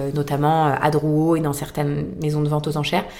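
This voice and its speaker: A woman's very deep, low voice with audible room echo. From France, Boulogne. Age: 30s. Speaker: fashion resale entrepreneur. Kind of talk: interview.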